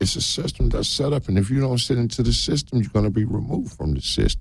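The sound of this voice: This man talks fast at a medium pitch, with big pitch swings. His voice has vocal fry and a slightly husky edge.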